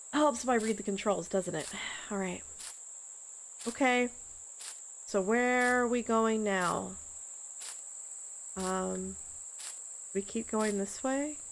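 A woman of medium pitch speaks at a slow pace with ordinary pitch variation and long, frequent pauses.

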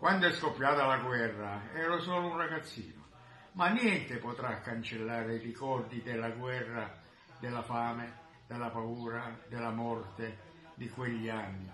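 A man at a fairly slow pace, with audible room echo and light background noise. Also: ordinary pitch variation. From Italy. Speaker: war witness. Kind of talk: video greeting address. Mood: solemn, earnest. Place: home room. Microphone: phone near.

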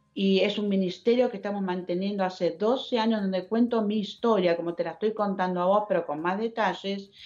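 A woman with an Argentine accent, fairly quick and with hardly any pauses, fairly even intonation, quiet background. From Argentina. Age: 70s. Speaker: speaker. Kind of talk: testimony. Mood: earnest, emotional, faith-filled. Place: home room. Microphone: video call.

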